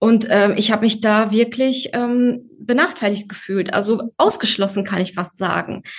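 A woman speaks at a moderate pace with hardly any pauses. Her fairly high voice is somewhat breathy, with fairly even intonation. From Germany. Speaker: office worker and mother. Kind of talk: interview. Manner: hesitant, many fillers.

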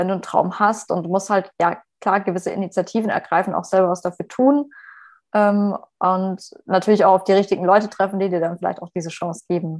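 Over a quiet background, a woman with a plain, everyday voice speaks at a fairly quick pace. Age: 20s. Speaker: HR manager and career coach. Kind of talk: podcast interview.

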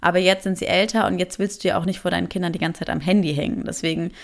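A woman speaks at a medium pitch with vocal fry. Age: 20s. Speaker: café owner and podcaster. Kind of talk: casual interview chat. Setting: video call.

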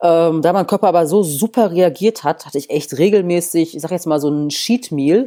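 With a dark, mellow tone, a woman talks at a moderate pace and fairly low pitch, using ordinary pitch variation and hardly any pauses. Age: 30s. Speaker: bodybuilder and former boxer. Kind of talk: interview.

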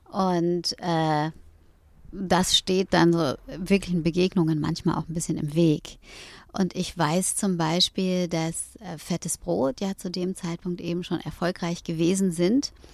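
On a very clean recording with a silent background, a woman speaks very slowly in a fairly low pitch with fairly even intonation. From Hamburg, northern Germany. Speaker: rapper turned yoga teacher. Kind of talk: interview. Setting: in a VW camper van.

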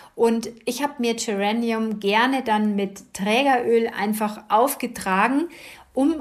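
At a fairly slow pace, a woman speaks in a normal speaking voice, fairly high in pitch, with ordinary pitch variation. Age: 50s. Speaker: podcast host, kinesiologist and essential oils advisor. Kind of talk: casual monologue.

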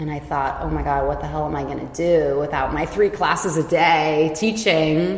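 With a Californian accent and a very deep, low pitch, a woman talks at a moderate pace with fairly even intonation amid noticeable background noise. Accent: Californian American English. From California, Silicon Valley. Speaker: yoga and dance teacher. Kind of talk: casual chat.

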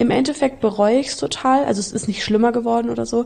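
Dark, mellow female voice at a fairly quick pace. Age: 20s. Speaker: traveller and volunteer. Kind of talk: casual chat.

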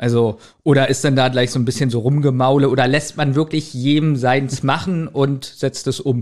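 A man with an unremarkable speaking voice talks at a moderate pace and medium pitch. His intonation is fairly even, and his loudness is very even. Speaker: podcast co-host. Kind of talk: interview.

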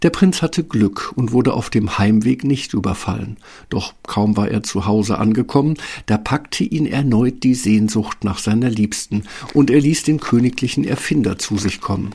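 On a very clean recording with a silent background, a man speaks at a moderate pace in a somewhat breathy voice with a dark, mellow tone, medium pitch, and ordinary pitch variation. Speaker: fairy tale narrator. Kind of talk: fairy tale narration, scripted storytelling. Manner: animated storyteller, expressive, mimicking sounds like 'Brrr'.

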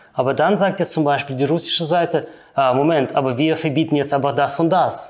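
Fairly high in pitch, a man speaks at a fairly quick pace. His intonation is fairly even and his loudness very even. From Kyrgyzstan, then Germany. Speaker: finance professional. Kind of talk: interview.

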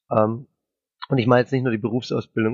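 A man's medium-pitched voice in a flat monotone. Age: 30s. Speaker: IT specialist with Tourette syndrome. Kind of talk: interview.

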